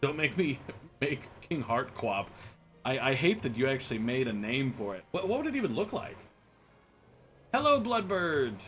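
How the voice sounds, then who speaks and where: A man with an American accent and fairly high pitch, very wide pitch swings, a moderate pace and long, frequent pauses, music in the background. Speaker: streamer. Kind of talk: live stream chat. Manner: stammering repetitions.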